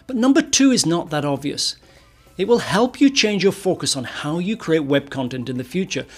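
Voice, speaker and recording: The voice moves at a moderate pace with very wide pitch swings. Noticeable background noise runs underneath. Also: man, high pitch for a man. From northern England. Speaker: web performance consultant and course instructor. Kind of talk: course introduction, direct address.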